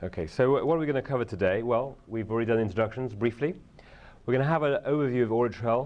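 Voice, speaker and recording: Talking at a very fast pace, a man uses a medium pitch with ordinary pitch variation. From Britain. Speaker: software developer and conference presenter. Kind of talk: conference presentation. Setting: conference session room with audience. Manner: hesitant, many fillers.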